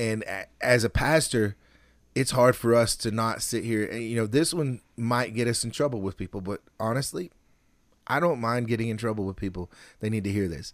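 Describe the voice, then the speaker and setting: A man with an ordinary speaking voice talks at a moderate pace in a medium pitch, with ordinary pitch variation, on a very clean recording with a silent background. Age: 40s. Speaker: podcast host and pastor. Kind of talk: casual chat.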